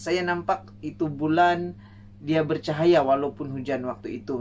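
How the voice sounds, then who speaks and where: Light background noise can be heard. The pace is fairly slow. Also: man. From Sabah, Malaysia (Ranau); Sabah. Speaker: songwriting contest entrant. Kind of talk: self-introduction video. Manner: casual, with fillers. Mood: warm, smiling. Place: home room. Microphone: camera far.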